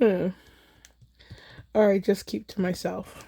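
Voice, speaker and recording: A woman's medium-pitched voice with vocal fry and a dark, mellow tone. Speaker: card-making video creator. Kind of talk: casual crafting chat.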